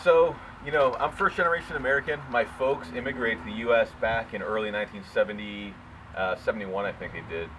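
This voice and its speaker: Amid noticeable background noise, a man speaks very fast with medium pitch, lively intonation and big swings in loudness. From US Northeast, New England, Hungarian immigrant home. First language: Hungarian. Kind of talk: personal storytelling monologue. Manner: casual, many fillers and repetitions.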